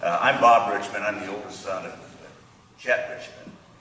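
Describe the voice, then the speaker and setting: Audible room echo and noticeable background noise surround the speaker. He is a man talking at a moderate pace. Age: 70s. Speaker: honoree's son. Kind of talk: ceremony remarks. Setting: podium at ceremony.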